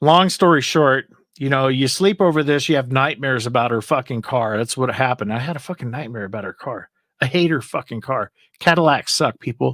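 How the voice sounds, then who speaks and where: A man at a medium pitch, fairly quick and animated, with lively intonation and a dry, close sound with no echo on a very clean recording with a silent background. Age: 50s. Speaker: livestream host. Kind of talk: casual chat. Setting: live stream.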